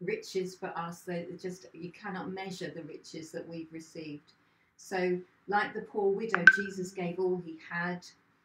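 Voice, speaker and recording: In a room with audible echo, a woman speaks at a moderate pace in a monotone, flat intonation. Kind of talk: short sermon, Bible reflection. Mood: warm, reflective. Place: home room. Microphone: camera far.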